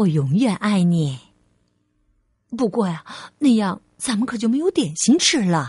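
A woman's put-on character voice at medium pitch, slightly mellow with a husky, rough edge, big pitch swings and a fairly slow pace, on a very clean recording with a silent background.

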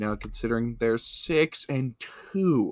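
In a very clean recording with a silent background and a dry, close sound with no echo, a man of medium pitch talks with ordinary pitch variation. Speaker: podcast host. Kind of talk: sports recap and commentary. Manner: animated.

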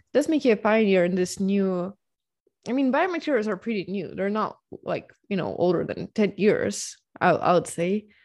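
This woman has a Ukrainian accent and a medium pitch, speaking at a moderate pace. Her intonation is lively, and the background is quiet. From Ukraine, Dnipro. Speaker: podcast host, biohacker. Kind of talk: casual interview.

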